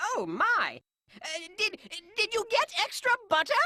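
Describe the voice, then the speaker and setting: An extremely high, cartoonish character voice moves at a fairly slow pace. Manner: prim, huffy.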